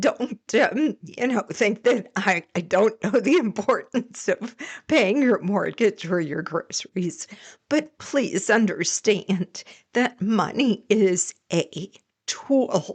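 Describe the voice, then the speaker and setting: The speaker is somewhat breathy, with lively intonation and a very slow pace. The sound is dry and close, with no echo. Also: woman, fairly high pitch for a woman. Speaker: employment psychologist; professional speaker. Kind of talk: podcast interview answer.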